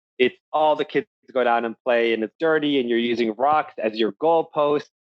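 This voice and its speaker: At a moderate pace, a man talks in a medium pitch with ordinary pitch variation. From Egypt, Alexandria; moved to US at 10. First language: Arabic. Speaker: tech startup founder. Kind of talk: interview. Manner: casual, many filler likes.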